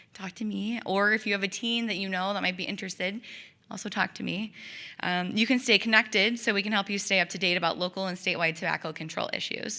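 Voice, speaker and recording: A loud woman talks at a very fast pace with a bright, sharp tone, medium pitch and fairly even intonation. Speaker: tobacco prevention coalition coordinator. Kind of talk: public presentation.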